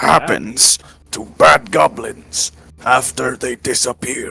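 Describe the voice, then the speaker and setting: Using a put-on character voice, a man speaks in a solemn tone at a medium pitch. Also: fairly slow pace. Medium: actual play. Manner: formal, solemn.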